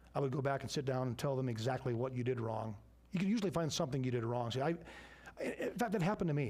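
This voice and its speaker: A very fast, somewhat breathy delivery with ordinary pitch variation and audible room echo. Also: man. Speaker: business owner teaching a church class. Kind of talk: church class Q and A.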